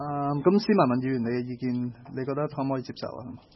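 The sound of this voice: At a very fast pace, a man talks in a medium pitch with ordinary pitch variation.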